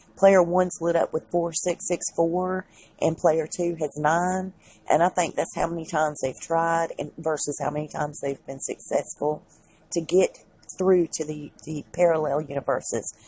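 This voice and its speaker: Her Southern US accent comes through at a moderate pace. This woman has a fairly low pitch and fairly even intonation. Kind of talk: casual talk to camera.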